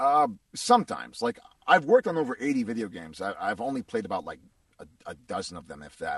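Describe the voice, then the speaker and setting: Dry and close with no echo, a man with an American accent talks very fast at fairly high pitch, with very wide pitch swings, big swings in loudness and vocal fry. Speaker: voice actor. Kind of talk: interview.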